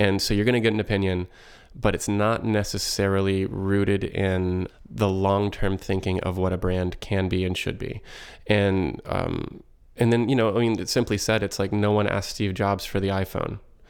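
Over a silent background in a very clean recording, a man with a fairly low pitch talks in a flat monotone at a moderate pace. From small-town Texas. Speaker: design agency co-owner. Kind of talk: interview. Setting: in-person in new studio room under construction.

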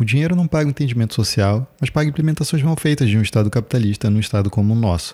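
With a dark, mellow tone and medium pitch, a man talks at a very fast pace with hardly any pauses, lively intonation, very even loudness and a somewhat breathy quality. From Brazil, Macapá (Amapá). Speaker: podcast host, artist and chronicler. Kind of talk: scripted narration.

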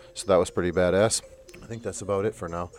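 A man speaks with music in the background. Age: 30s. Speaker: podcast host. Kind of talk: casual chat.

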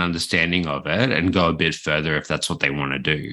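A man's bright, sharp tone in an Australian accent, at a moderate pace with ordinary pitch variation. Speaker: screencaster. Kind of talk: casual chat. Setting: remote call.

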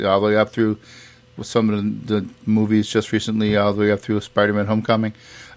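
A man with a fairly low pitch at a fairly quick pace. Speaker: podcast host. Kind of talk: solo movie review podcast. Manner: hesitant, many fillers.

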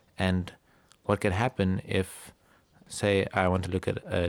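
On a very clean recording with a silent background, a man speaks in a very deep, low pitch with monotone, flat intonation. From South Africa, Cape Town. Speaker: astronomy PhD student. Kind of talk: interview.

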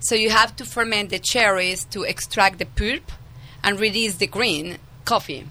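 A woman with a Colombian accent, medium pitch, ordinary pitch variation, a bright and sharp tone, at a moderate pace. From Colombia (Medellin). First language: Spanish. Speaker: winemaker. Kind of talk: radio interview. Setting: studio.

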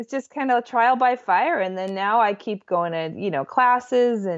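The speaker is a woman with a medium pitch. Her intonation is lively. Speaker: business and productivity coach. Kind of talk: interview. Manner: animated, enthusiastic.

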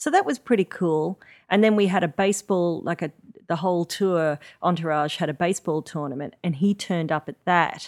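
Speaking with an Australian accent at a fairly quick pace, a woman shows ordinary pitch variation in a very clean recording with a silent background and a dry, close sound with no echo. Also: fairly low pitch for a woman. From Coffs Harbour, eastern Australia. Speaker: musician. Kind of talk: casual chat. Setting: at the host's home. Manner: mellow.

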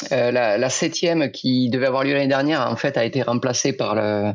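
At a moderate pace, a man speaks at a medium pitch in a very clean recording with a silent background. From France, Aveyron (Rodez). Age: 40s. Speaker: former footballer and cycling event organizer. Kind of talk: casual interview. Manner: hesitant, many fillers and repetitions.

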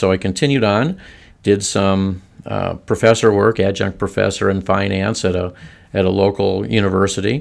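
Speaking at a fairly quick pace in a plain, everyday voice, a man with an American accent keeps a fairly even intonation and a fairly low pitch, recorded very cleanly against a silent background. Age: 60s. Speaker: semi-retired financial firm employee. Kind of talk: podcast interview.

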